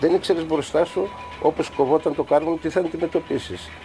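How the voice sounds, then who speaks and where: Over noticeable background noise, a man talks at a moderate pace with a fairly high pitch. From Greece, Samothrace. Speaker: former coal miner. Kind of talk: testimony.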